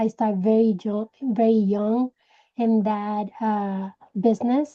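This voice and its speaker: With a Puerto Rican accent, a woman speaks in a fairly high, dark, mellow voice with monotone, flat intonation, the sound dry and close with no echo over a quiet background. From Puerto Rico. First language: Spanish. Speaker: direct sales team leader. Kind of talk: personal story talk to sales team. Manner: hesitant, with many fillers.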